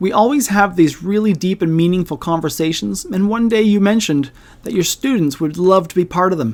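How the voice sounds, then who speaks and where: Speaking at a fairly quick pace with lively intonation, a woman with a Canadian accent has an ordinary speaking voice at a medium pitch. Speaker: podcast co-host. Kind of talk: casual educational podcast chat.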